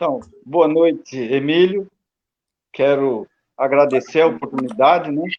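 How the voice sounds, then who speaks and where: Speaking at a fairly slow pace with long, frequent pauses, a man uses a fairly high pitch with ordinary pitch variation. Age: 60s. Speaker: retired metalworker and union activist. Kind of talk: panel discussion.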